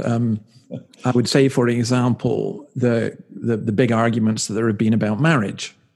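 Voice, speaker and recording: A medium-pitched man with a Scottish accent at a moderate pace. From Scotland. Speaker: minister. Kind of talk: casual chat.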